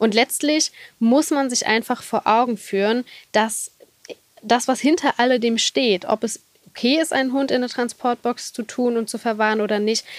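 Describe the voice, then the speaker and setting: At a moderate pace, a high-voiced woman speaks with fairly even intonation in a dry, close sound with no echo. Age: 30s. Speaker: lawyer specialising in animal law. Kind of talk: interview.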